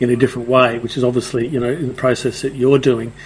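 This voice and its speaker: A man at a medium pitch speaks very fast, with noticeable background noise. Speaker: podcast co-host. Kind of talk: casual interview chat. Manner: hesitant, many fillers.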